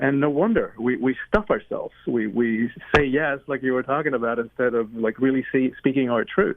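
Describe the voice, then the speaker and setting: A man with a Spanish accent speaks at a moderate pace and a medium pitch, with ordinary pitch variation and hardly any pauses. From Cuba. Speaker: author and speaker. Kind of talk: interview.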